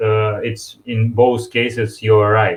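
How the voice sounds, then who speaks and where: Somewhat breathy, a man talks at a very slow pace. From Russia. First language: Russian. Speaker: software developer. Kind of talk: webinar interview. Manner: halting.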